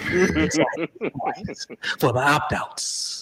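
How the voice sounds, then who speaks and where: The speaker, a man, talks in a whisper. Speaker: sports podcast host. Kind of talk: casual chat. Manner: loud, excitable; whispering to tone down volume.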